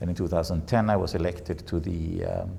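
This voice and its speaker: In a Swedish accent, a man speaks with a very deep, low pitch, a dark, mellow tone, a somewhat breathy quality, ordinary pitch variation and audible room echo. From Sweden. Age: 70s. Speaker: bridge federation president. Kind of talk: interview. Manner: halting.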